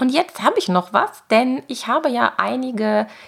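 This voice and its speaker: A woman talks fairly slowly, her pitch swinging very widely, while noticeable background noise plays. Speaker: podcast host. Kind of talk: scripted narration.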